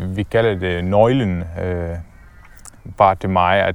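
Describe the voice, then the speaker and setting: With an Arabic accent, a man talks at a very slow pace in a very deep, low pitch with ordinary pitch variation. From Syria (Damascus), Palestinian family. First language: Arabic (speaking Danish). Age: 20s. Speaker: entrepreneur. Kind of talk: casual interview. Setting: outdoors walking in a forest. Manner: halting with many fillers.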